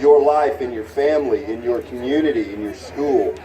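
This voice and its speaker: A man with an American accent talks at a moderate pace in a fairly high pitch, with ordinary pitch variation. Crowd noise and audible room echo fill the background. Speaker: youth program leader. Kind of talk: award ceremony speech. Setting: stage with audience, PA system. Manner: loud.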